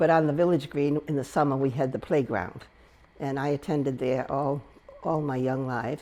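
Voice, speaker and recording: Speaking with an American accent, a woman uses a very deep, low pitch and fairly even intonation. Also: moderate pace. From Rhode Island, US (South Kingstown). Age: 80s+. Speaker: local resident sharing memories. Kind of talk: oral history interview. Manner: halting, with fillers and restarts.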